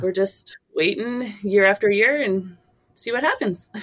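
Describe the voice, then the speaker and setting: This woman has an unremarkable speaking voice with a fairly high pitch. She talks at a fairly slow pace. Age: 40s. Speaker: phys ed teacher and amateur marathon runner. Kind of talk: interview storytelling.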